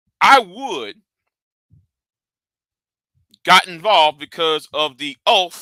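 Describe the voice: Slow and bright with a sharp edge, a man speaks at a fairly high pitch, the sound dry and close with no echo.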